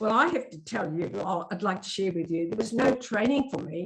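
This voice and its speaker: Pitch rises and falls in an ordinary way. There is a somewhat breathy quality to the voice. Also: woman. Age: 70s. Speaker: Māori cultural advisor and kaikaranga. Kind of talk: talk to a church group. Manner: hesitant, many fillers.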